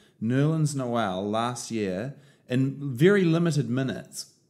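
In a New Zealand accent, a man speaks at a medium pitch with lively intonation. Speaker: sports podcast co-host. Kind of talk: casual chat. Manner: slow; quiet.

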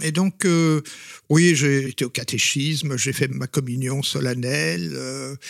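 A man speaks at a very slow pace in a medium pitch, his intonation lively. The sound is dry and close, with no echo. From Flemish Belgium. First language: Flemish (Dutch) (speaking French). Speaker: retired psychology professor. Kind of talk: interview.

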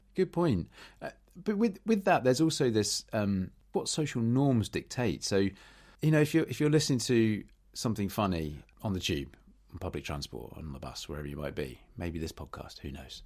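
A man's fairly low voice in a British accent, with very wide pitch swings and big swings in loudness. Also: moderate pace, very clean recording, silent background. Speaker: podcast host. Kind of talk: casual chat.

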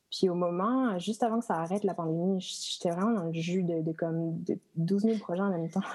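Fairly even in intonation and fairly low in pitch, a woman talks in an ordinary speaking voice. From western France (Rochefort). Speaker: lighting designer. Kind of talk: casual chat. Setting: video call.

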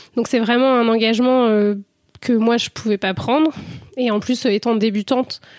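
With long, frequent pauses, a woman speaks at a moderate pace and fairly high pitch, her loudness very even and intonation fairly even, in a dry, close sound with no echo. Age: 20s. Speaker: medical student and amateur rugby player. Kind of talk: interview testimony. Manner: hesitant, many fillers.

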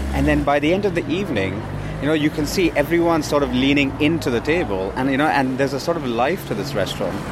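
Over noticeable background noise, a man talks at a very fast pace. His fairly high voice has lively intonation. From India. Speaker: food startup co-founder. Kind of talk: casual chat. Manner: halting.

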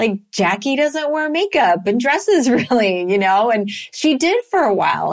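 Background noise is noticeable. A woman speaks with lively intonation. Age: 50s. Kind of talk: casual chat.

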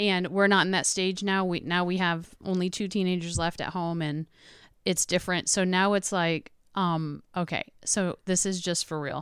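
The recording is very clean with a silent background, as a woman at medium pitch speaks at a moderate pace with monotone, flat intonation. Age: 40s. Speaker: podcast guest, mother. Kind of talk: casual chat. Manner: loud.

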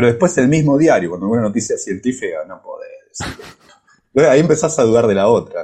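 Speaking at a fairly quick pace in an Argentine accent, a man's loudness swings widely. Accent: Argentine Spanish (Rioplatense). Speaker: physics professor. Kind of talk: casual chat. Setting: improvised remote connection while on vacation.

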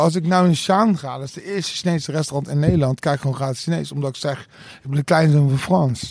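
Very fast, somewhat breathy male speech, fairly high in pitch with ordinary pitch variation. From Rotterdam, Netherlands. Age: 40s. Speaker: DJ. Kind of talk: casual chat.

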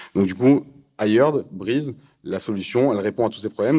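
Dark and mellow in tone, a man's voice moves at a fairly quick pace with ordinary pitch variation. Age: 20s. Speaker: startup co-founder. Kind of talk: talk with audience. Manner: halting.

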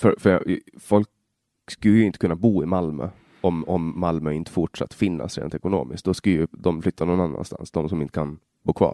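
A man's very deep, low, dark and mellow voice, fairly quick, with ordinary pitch variation, in a dry, close sound with no echo on a very clean recording with a silent background. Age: 20s. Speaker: podcast host. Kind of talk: interview. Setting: guest's office at city hall. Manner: halting.

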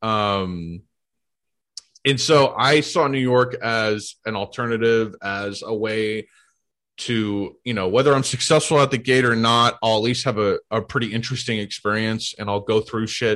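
Heard over a quiet background, a man with an American accent uses a plain, everyday voice at medium pitch with fairly even intonation. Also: moderate pace. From US Midwest, St. Louis. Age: 20s. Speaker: comedian, content creator. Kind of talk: casual chat. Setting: video call.

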